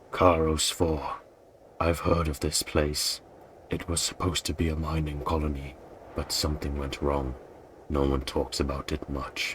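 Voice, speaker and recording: Putting on a character voice, a man speaks very deep and low in a flat monotone, leaving long, frequent pauses over clear background noise. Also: moderate pace. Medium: solo performance. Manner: calm, plain, human-sounding.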